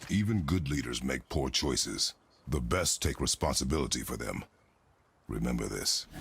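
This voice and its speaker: Using a put-on character voice, a man speaks with a very deep, low pitch and a stern tone. His intonation is lively and his pace moderate. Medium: video game. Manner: terse, stern.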